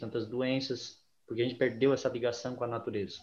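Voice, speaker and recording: A man at medium pitch sounds somewhat breathy, with fairly even intonation. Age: 30s. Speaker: ayahuasca ceremony leader, geography teacher. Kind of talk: interview.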